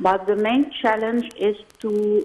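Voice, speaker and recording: A woman with an Arabic accent. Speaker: former government minister. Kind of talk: news interview. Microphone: voice sounds very far; phone line.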